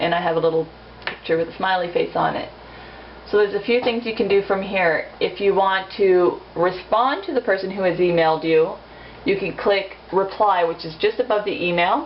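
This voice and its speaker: The pitch varies in an ordinary way. Noticeable background noise runs under the voice. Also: woman, medium pitch for a woman. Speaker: amateur tutorial maker. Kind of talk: tutorial. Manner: fast; casual, informal.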